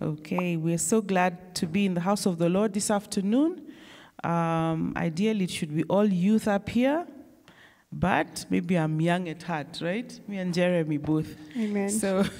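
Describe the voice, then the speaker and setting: A woman's dark, mellow voice at a fairly slow pace, with ordinary pitch variation and a quiet background. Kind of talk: worship service leading and prayer. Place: church. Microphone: handheld.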